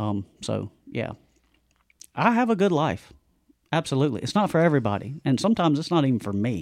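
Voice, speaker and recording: This man's voice is fairly high, with very wide pitch swings and an animated tone. He talks at a fairly quick pace but with long, frequent pauses. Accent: American. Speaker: mountain bike promoter. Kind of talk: casual chat. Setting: video call. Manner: loud.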